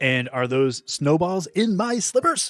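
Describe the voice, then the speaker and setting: Middle pitch and a fairly slow pace in a put-on character voice. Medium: audio drama. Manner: cheeky.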